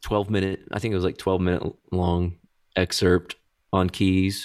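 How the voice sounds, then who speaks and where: A man with an American accent speaks at a moderate pace in a fairly low pitch, on a very clean recording with a silent background. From Texas, Dallas. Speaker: guitarist and singer. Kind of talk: casual chat. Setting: in person.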